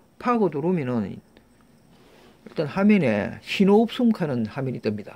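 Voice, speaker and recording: The voice has a dark, mellow tone with very wide pitch swings at a moderate pace. The recording is very clean, with a silent background. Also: man. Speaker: scrap recycling YouTuber. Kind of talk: tutorial. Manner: halting, many fillers and restarts.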